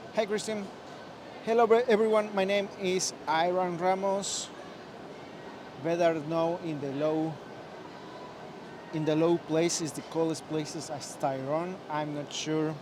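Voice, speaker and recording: Speaking in a Spanish accent, a man with a high pitch talks at a fairly slow pace with long, frequent pauses, amid noticeable background noise and audible room echo. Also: ordinary pitch variation. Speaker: live stream host. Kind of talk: live stream chat. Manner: halting.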